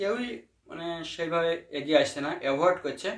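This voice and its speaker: A man with a fairly high pitch speaks with ordinary pitch variation. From Nadia district, West Bengal, India. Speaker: blind graduate seeking help. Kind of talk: interview testimony. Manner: halting.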